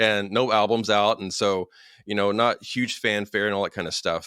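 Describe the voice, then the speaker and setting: Someone with a Kentucky accent talks at a fairly quick pace in a bright, sharp tone, with a dry, close sound with no echo on a very clean recording with a silent background. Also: man. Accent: Kentucky Southern US. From Kentucky (Paducah). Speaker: podcast host. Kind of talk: casual interview chat.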